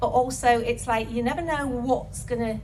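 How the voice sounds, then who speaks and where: A woman talks in an animated tone at a moderate pace, with audible room echo and noticeable background noise. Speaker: wellness speaker. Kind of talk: talk to festival audience.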